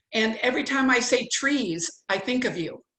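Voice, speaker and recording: Amid audible room echo, a woman speaks in a high voice with a bright, sharp tone. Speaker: former city council member and candidate. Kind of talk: casual town hall chat on video call. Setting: video call.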